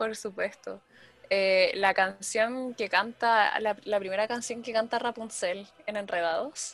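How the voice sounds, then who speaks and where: At a very slow pace, a woman with a fairly high pitch speaks with fairly even intonation. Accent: Chilean. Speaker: podcaster. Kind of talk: casual chat.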